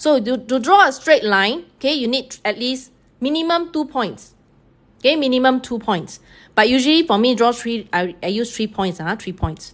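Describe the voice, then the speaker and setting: A woman with a Singaporean accent talks at a moderate pace with lively intonation and a high pitch. The background is quiet. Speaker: math teacher. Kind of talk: live-streamed tutorial. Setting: online live stream.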